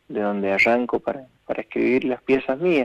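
Dry, close sound with no echo and ordinary pitch variation. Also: man. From Mendoza, Argentina. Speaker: folk singer-songwriter. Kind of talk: interview. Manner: halting, repeats words.

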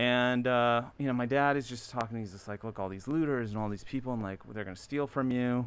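In an American accent, a man talks at a fairly quick pace with hardly any pauses, his medium pitch carrying fairly even intonation. It is a plain, everyday voice on a very clean recording with a silent background. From US, Maryland (Baltimore area). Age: 40s. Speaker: streetwear designer and brand founder. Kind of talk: casual chat.

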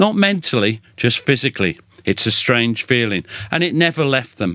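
A man speaks with a British accent at a medium pitch. The sound is dry and close with no echo, in a very clean recording over a silent background. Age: 60s. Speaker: military historian and author. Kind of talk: interview conversation.

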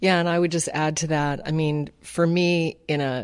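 A woman's intense tone over a quiet background. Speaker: cookbook author. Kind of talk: casual chat.

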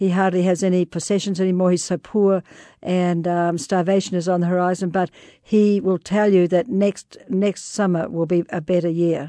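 A woman with a New Zealand accent at a medium pitch and a moderate pace, with a dark, mellow tone, very even loudness and fairly even intonation, in a dry, close sound with no echo over a quiet background. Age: 60s. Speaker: explorer and author. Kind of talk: interview.

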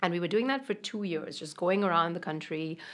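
At a very fast pace, a woman speaks at a fairly low pitch with ordinary pitch variation. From India. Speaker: molecular biologist turned spice entrepreneur. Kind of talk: interview. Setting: studio.

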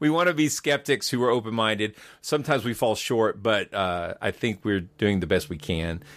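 With an ordinary speaking voice, a man of medium pitch talks at a moderate pace using lively intonation. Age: 50s. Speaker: podcast host. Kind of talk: interview.

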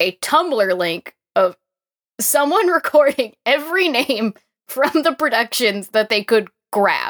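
With a plain, everyday voice, a woman speaks at a fairly slow pace with lively intonation. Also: dry, close sound with no echo. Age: 20s. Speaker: podcast guest, musical theatre fan. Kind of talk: casual chat.

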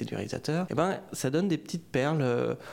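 A man at a moderate pace. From France. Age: 30s. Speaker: novelist. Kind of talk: interview. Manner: halting, many hesitations.

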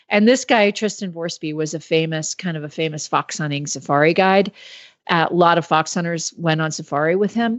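In an ordinary speaking voice, a woman talks at a fairly quick pace with a fairly low pitch and ordinary pitch variation. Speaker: magazine editor and co-host. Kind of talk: casual chat.

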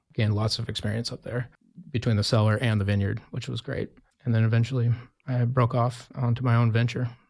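Very fast and in an American accent, a man speaks at medium pitch in a somewhat breathy, flat monotone, recorded very cleanly against a silent background. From US Mountain West (Wyoming). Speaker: winemaker. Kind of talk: interview.

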